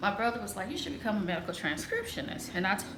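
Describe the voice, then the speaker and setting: Audible room echo follows a woman whose pitch varies in an ordinary way. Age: 40s. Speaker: lifestyle vlogger. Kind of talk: casual vlog monologue. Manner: loud; cackling laugh.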